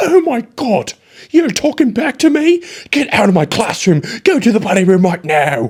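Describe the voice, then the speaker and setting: This put-on character voice sits fairly high and swings very widely in pitch. It moves at a moderate pace. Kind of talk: stern, commanding. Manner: indignant, scolding, exaggerated.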